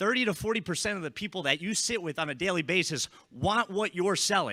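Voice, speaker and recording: On a very clean recording with a silent background and a dry, close sound with no echo, a high-pitched man with an American accent talks at a fairly quick pace in a raised, projected voice, his animated tone bright and sharp with ordinary pitch variation. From US Northeast, northern New Jersey. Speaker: insurance sales trainer. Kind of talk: conference talk. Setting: stage with audience. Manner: fast.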